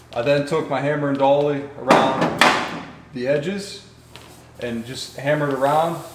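A man talks in a monotone with flat intonation, and room echo is audible. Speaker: car restoration channel host. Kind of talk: tutorial. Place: garage.

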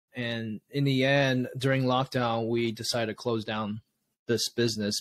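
Fairly even intonation from a man at a moderate pace, dry sound with no echo. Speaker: podcast guest. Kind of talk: interview answer. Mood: calm, reflective. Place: home room. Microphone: webcam.

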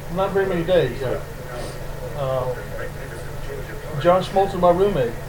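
Amid noticeable background noise and audible room echo, a man with a Southern US accent speaks very slowly at a high pitch with ordinary pitch variation. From US South, Mobile, Alabama. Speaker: baseball pitching coach. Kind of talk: interview.

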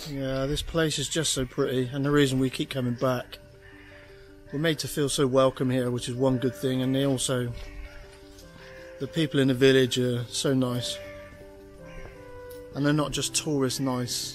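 Flat, monotone delivery at a moderate pace, with long, frequent pauses and faint music in the background. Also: man. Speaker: sailing vlogger. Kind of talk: casual vlog chat. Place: waterside. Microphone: phone near.

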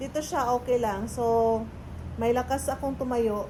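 Amid audible room echo, a woman speaks at a very slow pace in a high pitch with fairly even intonation. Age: 30s. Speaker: vlogger. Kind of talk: casual vlog chat. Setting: in a car.

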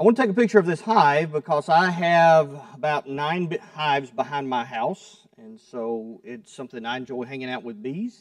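A man at a moderate pace, dry with no echo, over a quiet background. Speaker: preacher. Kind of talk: sermon. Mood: relaxed, light humor. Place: church. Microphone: podium.

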